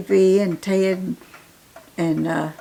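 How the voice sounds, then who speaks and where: A woman talks with a Southern Appalachian accent. Her pace is very slow. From western North Carolina, Cherokee County. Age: 90s. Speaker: elder interviewee. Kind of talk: casual interview. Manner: halting.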